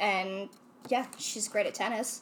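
This woman talks with an American accent at a medium pitch. Noticeable background noise runs underneath. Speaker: friend of the show. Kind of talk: casual chat.

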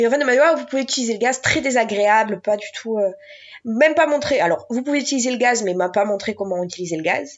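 A woman talks at a very fast pace in a fairly high pitch. Her intonation is lively. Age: 20s. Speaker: mother sharing birth stories. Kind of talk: interview testimony.

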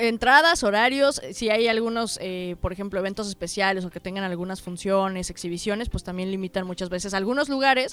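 Her voice is an unremarkable speaking voice, and the woman talks at a fairly quick pace with ordinary pitch variation. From Mexico. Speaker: travel podcast co-host. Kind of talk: casual chat.

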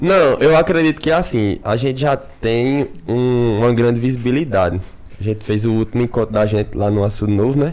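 Speaking at a fairly quick pace, a man with an unremarkable speaking voice keeps a medium pitch, ordinary pitch variation and very even loudness. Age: 20s. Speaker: podcast host, guest. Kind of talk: casual chat.

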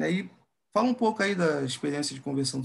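Fairly high in pitch, a man speaks fairly quickly in a plain, everyday voice. His pitch varies in an ordinary way. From Brazil, Rio de Janeiro area (Nilópolis). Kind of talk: casual chat.

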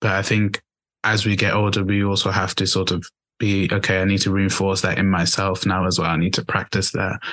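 A man with a fairly low voice speaks at a fairly quick pace in a flat monotone. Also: very even loudness, quiet background. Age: 20s. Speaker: podcast host. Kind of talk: casual chat.

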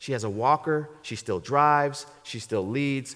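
A man's animated voice at a moderate pace with ordinary pitch variation. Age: 40s. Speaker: guest pastor. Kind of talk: sermon. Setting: church.

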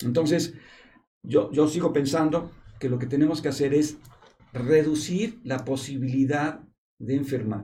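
In a Mexican accent, a man with a somewhat breathy, dark, mellow tone and a fairly high pitch speaks at a fairly slow pace, with ordinary pitch variation, long, frequent pauses and audible room echo. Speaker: epidemiologist. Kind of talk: panel discussion on a medical talk show. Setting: studio in a hospital.

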